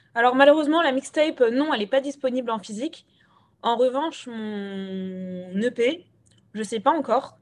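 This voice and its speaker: A woman's high voice, lively in intonation, at a moderate pace. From Gabon. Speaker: rapper and singer-songwriter. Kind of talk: radio interview. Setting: remote interview.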